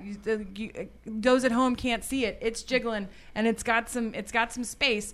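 On a very clean recording with a silent background, a woman talks in a fairly high voice with a Texan accent. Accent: Texan Southern, rural. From Texas, Highlands (rural Houston area). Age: 30s. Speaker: podcast guest, community event organizer. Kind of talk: casual chat.

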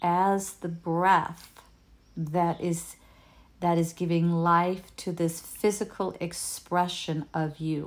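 A woman speaks with a Danish accent. Her pace is very slow. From Denmark. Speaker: emotional healing coach. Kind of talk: solo video talk. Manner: halting, with fillers and repetitions.

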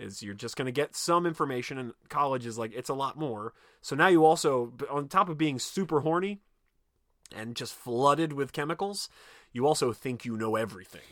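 In a very clean recording with a silent background, a man with a normal speaking voice and a fairly high pitch talks at a fairly quick pace, his intonation lively and his loudness swinging widely. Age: 40s. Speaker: podcast host. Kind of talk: casual chat.

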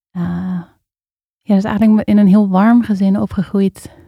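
A woman at medium pitch with a dark, mellow tone, monotone, flat intonation and moderate pace, in a dry, close sound with no echo. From Netherlands, Amstelveen near Amsterdam. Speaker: facilitator and spoken word poet. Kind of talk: casual interview.

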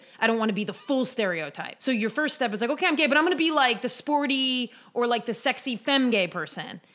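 Delivered at a fairly quick pace, this unremarkable speaking voice has lively intonation. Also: woman. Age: 30s. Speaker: podcast co-host. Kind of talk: casual chat.

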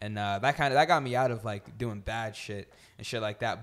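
With an American accent, this man has an unremarkable speaking voice, a fairly quick pace, and ordinary pitch variation. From New Jersey. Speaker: rapper. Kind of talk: casual chat.

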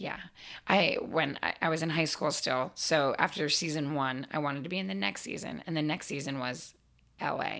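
In a very clean recording with a silent background, a woman speaks at a moderate pace with a very deep, low pitch, vocal fry, and ordinary pitch variation. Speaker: performer. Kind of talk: casual chat. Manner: loud; animated.

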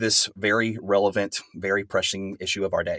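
Recorded very cleanly against a silent background, a man with an American accent and a normal speaking voice talks at a moderate pace and a fairly low pitch. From West Texas. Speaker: pastor and professor. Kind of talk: interview.

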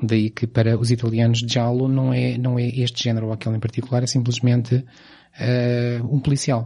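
A man talks at a moderate pace and medium pitch in a dark, mellow, somewhat breathy tone, with monotone, flat intonation and hardly any pauses. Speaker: film podcast host. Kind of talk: casual chat.

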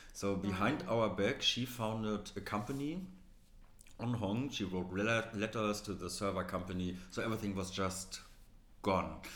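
An ordinary speaking voice talks at a moderate pace. Its intonation is fairly even. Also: man, fairly low pitch for a man. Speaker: magazine co-founder. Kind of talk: casual interview chat.

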